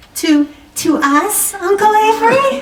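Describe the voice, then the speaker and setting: A squeaky, put-on character voice from a woman, extremely high in pitch, with very wide pitch swings and a fairly slow pace. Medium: read story. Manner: breathless, stammering.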